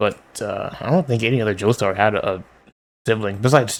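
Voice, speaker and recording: At a moderate pace, a man with fairly low pitch speaks with fairly even intonation. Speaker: manga reader. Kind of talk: reading aloud with commentary. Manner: monotone.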